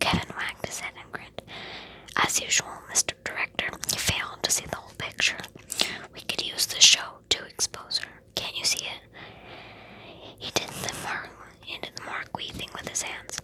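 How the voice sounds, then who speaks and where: Whispering at a moderate pace, the speaker leaves long, frequent pauses against noticeable background noise. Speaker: ASMR reader. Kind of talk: read-aloud novel. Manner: soft-spoken.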